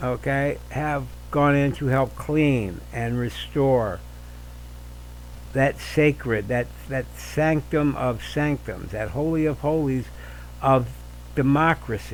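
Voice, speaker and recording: Long, frequent pauses mark a man's very slow delivery. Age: 60s. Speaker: podcast host. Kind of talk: opinion monologue. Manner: halting, many fillers and repeats; animated.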